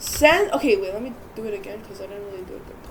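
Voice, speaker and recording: A woman speaks with very wide pitch swings. Noticeable background noise can be heard. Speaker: gaming YouTuber. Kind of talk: gameplay tutorial. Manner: casual, filler-heavy; stuttering, self-correcting.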